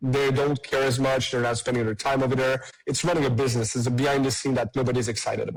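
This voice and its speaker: A man with a French Canadian accent at medium pitch, very fast and monotone, flat in intonation, with very even loudness and music in the background. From Quebec. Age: 30s. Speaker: tech startup CEO. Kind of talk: podcast interview.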